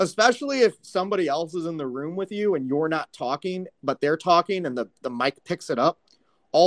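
A man's fairly high-pitched, ordinary speaking voice with an American accent, lively intonation and a fairly quick pace, in a dry, close recording with no echo. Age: 30s. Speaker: live audio chat host. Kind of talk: casual chat. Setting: live audio app.

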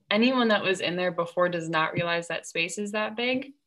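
This woman has an ordinary speaking voice at a medium pitch. Her pitch variation is ordinary, and her pace is moderate. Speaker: student interviewer. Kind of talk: casual interview.

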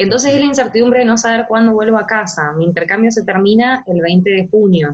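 The pace is fairly quick as a woman talks. A somewhat breathy quality marks her voice. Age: 20s. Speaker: law student on exchange. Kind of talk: interview.

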